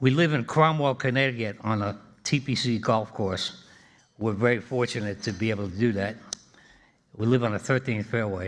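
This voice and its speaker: This man speaks in a Boston accent. His pitch is medium with ordinary variation. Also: moderate pace. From Boston, Massachusetts (Jamaica Plain). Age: 80s+. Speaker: engineering alumnus. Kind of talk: after-dinner speech. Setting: dinner event with audience.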